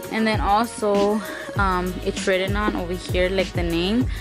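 Clear music plays behind a woman whose voice sounds dry, with no echo. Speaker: thrift vlogger. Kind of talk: casual vlog chat. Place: home room.

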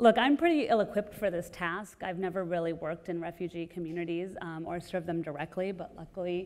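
A woman at a fairly quick pace, with fairly even intonation. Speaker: panel moderator. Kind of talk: panel introduction. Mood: light, friendly opening. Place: hall. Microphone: lapel.

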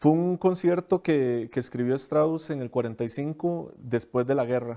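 A man's dark, mellow voice at a fairly slow pace, with ordinary pitch variation and a quiet background. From Costa Rica, southern region. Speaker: principal oboist. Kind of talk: interview. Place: studio. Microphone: lapel.

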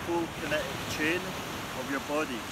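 A man speaks over loud background noise. The sound is dry with no echo. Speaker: boxing trainer. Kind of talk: tutorial. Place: beach. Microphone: camera far.

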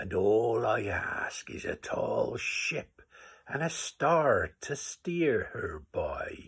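Using a put-on character voice, a man speaks at a very slow pace in a raspy tone. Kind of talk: poetry reading.

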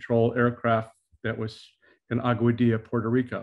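Moderate-paced male speech over a quiet background. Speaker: presenter. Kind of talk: presentation talk. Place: home room. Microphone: video call.

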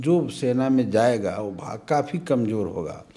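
A man with a dark, mellow tone speaks at a very slow pace. His pitch swings very widely. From Bihar, India. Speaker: politician, state legislator; politician. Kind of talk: interview. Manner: animated. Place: office. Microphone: handheld.

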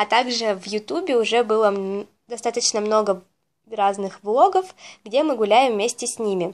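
At a moderate pace, a woman talks with ordinary pitch variation and big swings in loudness. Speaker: pet vlogger. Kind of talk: casual vlog chat. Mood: cheerful, warm. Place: home room.

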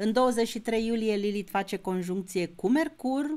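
Her pace is very slow. The woman's pitch variation stays ordinary. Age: 60s. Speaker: astrologer. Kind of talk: astrology lecture video. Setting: YouTube video recording. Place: home room.

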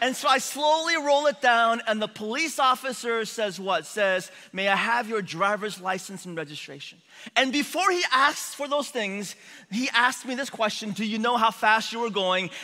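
A man speaks in a raised, projected voice at a moderate pace. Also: quiet background. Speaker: preacher. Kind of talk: sermon. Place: church.

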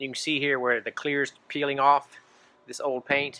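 Here is a man's voice. Its tone is bright and sharp. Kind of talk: casual vlog tutorial. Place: street. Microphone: phone near.

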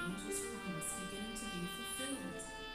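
Over loud background music and audible room echo, a woman speaks at a fairly quick pace. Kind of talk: dramatic narration. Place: church.

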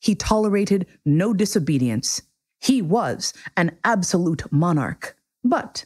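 A natural reading voice carries lively intonation. The background stays quiet.

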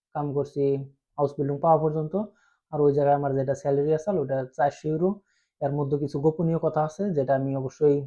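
The speaker has a Bangladeshi accent and a flat, monotone delivery. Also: man, fairly high pitch for a man. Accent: Bengali close to Bangladeshi speech. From Assam, India (Bengali-speaking area). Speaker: YouTuber giving advice on vocational training in Germany. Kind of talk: casual informational vlog. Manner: informal, direct.

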